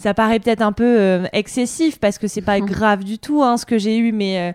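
The speech moves at a moderate pace with fairly even intonation, in a dry, close sound with no echo. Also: woman. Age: 30s. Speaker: journalist and podcaster. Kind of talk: interview. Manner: hesitant, many fillers.

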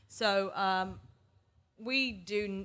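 Speaking in a Mancunian accent, a woman uses a medium pitch with ordinary variation. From northern England, Manchester. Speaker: startup founder and CEO. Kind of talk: interview conversation.

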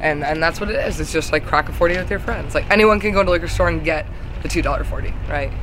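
The speech moves at a very fast pace. Background noise is noticeable throughout. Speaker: singer and music creator. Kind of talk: casual interview chat. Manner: chatty, laughs often, uses fillers.

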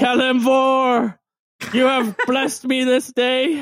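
Shouting in a put-on character voice, a man holds an extremely high, monotone, flat pitch at a very slow pace. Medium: actual play. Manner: earnest, dramatic, needy.

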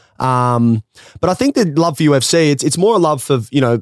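A man with an Australian accent is heard in a dry, close sound with no echo. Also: very clean recording, silent background. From rural Australia. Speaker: former footballer and business founder. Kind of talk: casual chat.

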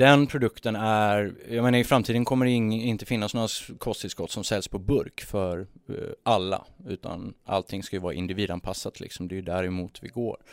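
This is a plain, everyday voice, a man's, pitched fairly low with ordinary pitch variation. The recording is very clean, with a silent background. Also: moderate pace. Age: 30s. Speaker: entrepreneur. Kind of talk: casual chat. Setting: studio.

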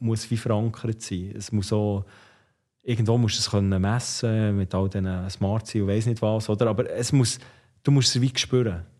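A man's dark, mellow tone at a moderate pace, fairly even in intonation, set against a quiet background. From Switzerland, Bern area (Ostermundigen). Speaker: former ice hockey player and entrepreneur. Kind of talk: casual interview.

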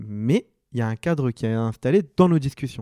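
A man speaks at medium pitch with a dark, mellow tone and ordinary pitch variation. The recording is very clean, with a silent background and dry, close sound with no echo. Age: 20s. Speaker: podcast guest, friend of the host. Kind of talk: casual chat.

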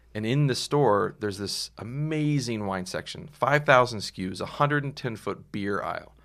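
Over a silent background in a very clean recording, a man with an American accent uses a normal speaking voice at medium pitch, ordinary pitch variation and a moderate pace, with hardly any pauses. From Texas. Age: 40s. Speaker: sommelier. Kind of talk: casual chat.

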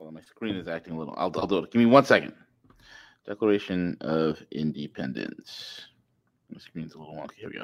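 The speaker moves at a fairly quick pace with lively intonation, vocal fry, and big swings in loudness. The recording is very clean with a silent background. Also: man, very deep, low pitch for a man. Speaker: news show co-host, economist.

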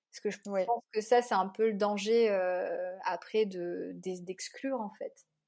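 Speaking at a fairly slow pace with hardly any pauses, a woman with a dark, mellow tone keeps fairly even intonation amid big swings in loudness. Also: medium pitch for a woman. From Réunion, east (Bras-Panon, Saint-André). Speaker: journalist and travel blogger. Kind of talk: casual interview.

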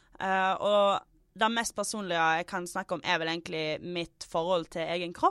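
At a fairly slow pace, an unremarkable speaking voice talks. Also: woman. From Western Norway, Stord/Fitjar. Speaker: comedian. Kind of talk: casual chat.

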